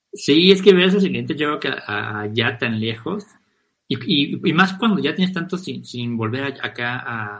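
Speaking at a fairly slow pace, a man uses a fairly high pitch that swings very widely. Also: big swings in loudness. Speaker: podcast host. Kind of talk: casual chat.

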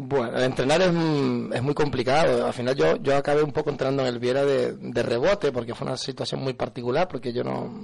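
Against noticeable background noise, a man speaks at a fairly quick pace and medium pitch, with ordinary pitch variation and hardly any pauses. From Canary Islands, north Tenerife (Buenavista del Norte). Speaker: football coach, former pro player. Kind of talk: radio interview.

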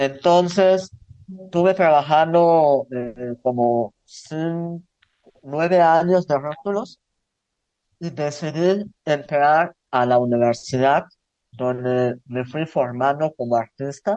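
A man with a dark, mellow tone and a fairly high pitch, speaking very slowly with ordinary pitch variation. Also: dry, close sound with no echo. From Zan, Yucatán, Mexico. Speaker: visual artist. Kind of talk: interview.

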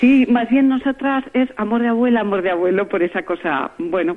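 A woman's pitch swings very widely, with noticeable background noise in the recording. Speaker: award-winning senior entrepreneur. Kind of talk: radio interview. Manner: halting, many repetitions.

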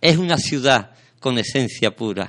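Against a quiet background, a man speaks at medium pitch. His tone is bright and sharp, with lively intonation. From Sanlúcar de Barrameda, Andalusia, Spain. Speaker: radio host. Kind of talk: casual chat; reading aloud. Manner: halting.

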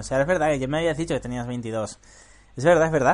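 Vocal fry colors a man's speech, which has lively intonation. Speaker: podcast host and programming teacher. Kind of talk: casual interview chat.

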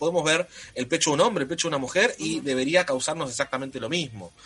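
A man's fairly high voice with an Argentine accent, at a very fast pace, over noticeable background noise. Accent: Argentine Spanish (Rioplatense). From Argentina. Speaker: anime content creator. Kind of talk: casual chat.

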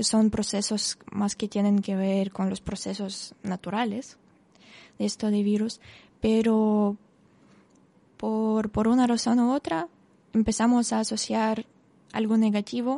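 A woman with a Russian accent speaks at a fairly slow pace with a fairly high pitch and fairly even intonation. Her tone is dark and mellow, and the sound is dry and close with no echo. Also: quiet background. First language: Russian (speaking Spanish). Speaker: Spanish teacher and volunteer. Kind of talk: radio interview. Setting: radio studio.

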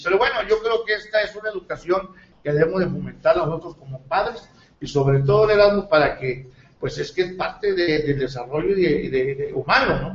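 Lively intonation marks a man's high-pitched voice as he talks at a moderate pace. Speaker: local news show host. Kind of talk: interview; broadcast announcements. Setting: studio, live TV and radio. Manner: halting, many fillers.

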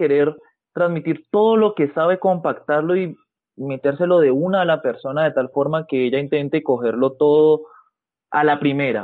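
A man with a normal speaking voice, fairly high in pitch, at a moderate pace, with ordinary pitch variation and very even loudness. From Colombia, Cali. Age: 20s. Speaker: physiotherapist. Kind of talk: interview.

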